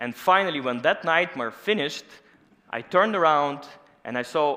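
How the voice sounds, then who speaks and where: With a Russian accent, a man with a fairly high pitch talks at a moderate pace with lively intonation. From Russia, Moscow. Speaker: scientist. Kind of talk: conference talk.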